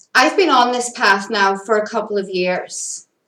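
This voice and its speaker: A woman with a Northern Irish accent speaks at a medium pitch with fairly even intonation. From Northern Ireland. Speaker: spiritual content creator. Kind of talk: personal monologue. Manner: casual with fillers.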